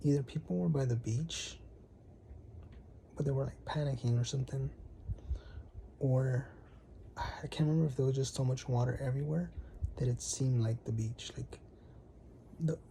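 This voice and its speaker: Soft-spoken delivery with long, frequent pauses. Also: moderate pace. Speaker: vlogger sharing a dream vision. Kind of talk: casual monologue, personal testimony. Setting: home at night, bedside. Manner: soft-spoken, keeping voice down; hesitant, many fillers.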